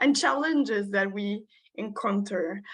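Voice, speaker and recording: A woman with a Quebec accent speaks at a fairly slow pace in a bright, sharp tone. Her intonation is fairly even, and the background is quiet. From Quebec, Montreal. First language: French. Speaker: social worker. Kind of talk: conference presentation. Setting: video call. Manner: halting.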